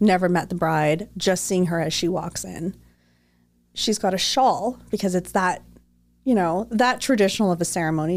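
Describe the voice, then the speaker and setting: This woman has an unremarkable speaking voice, medium in pitch with ordinary pitch variation, delivered at a moderate pace on a very clean recording with a silent background. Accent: Canadian. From Toronto, Canada. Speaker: wedding planner. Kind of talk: casual interview chat. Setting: livestream.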